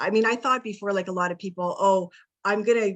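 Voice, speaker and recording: A woman with an unremarkable speaking voice. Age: 50s. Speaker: wellness coach. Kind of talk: interview on a video call.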